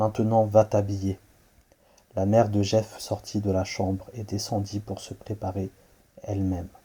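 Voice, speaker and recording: With a dark, mellow tone and fairly low pitch, a man talks at a fairly slow pace in monotone, flat intonation. His somewhat breathy voice has big swings in loudness and long, frequent pauses. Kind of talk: horror story narration. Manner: low-voiced.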